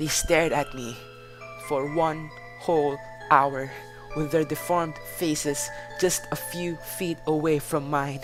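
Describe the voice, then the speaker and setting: Music plays in the background as a man speaks at a very slow pace. His pitch is fairly high and his intonation fairly even. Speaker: amateur horror story reader. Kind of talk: horror story reading.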